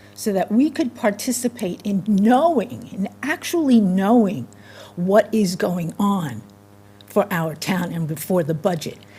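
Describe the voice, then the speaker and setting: Her pitch is medium, and this woman speaks at a fairly slow pace with very wide pitch swings. Noticeable background noise is present. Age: 70s. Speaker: resident giving public comment. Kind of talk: public comment at a town meeting. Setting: town meeting room, microphone. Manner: animated, emphatic; halting with fillers.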